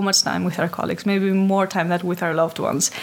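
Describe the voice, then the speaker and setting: A woman's medium-pitched voice holds a monotone, flat intonation against noticeable background noise. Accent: Greek. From Greece, Athens. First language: Greek. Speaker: HR specialist. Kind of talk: interview.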